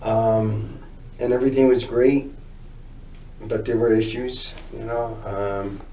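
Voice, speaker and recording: The speech moves at a very slow pace in a monotone, flat intonation, with noticeable background noise and audible room echo. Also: man. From northern New Jersey, near Newark. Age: 60s. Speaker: recovering addict telling his story. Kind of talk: interview testimony.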